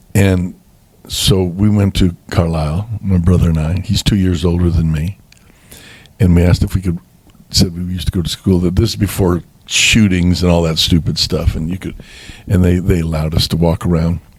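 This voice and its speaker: Monotone and flat in intonation, a man with a very deep, low pitch speaks at a moderate pace. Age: 70s. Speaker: bishop and pastor. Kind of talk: interview testimony. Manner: halting.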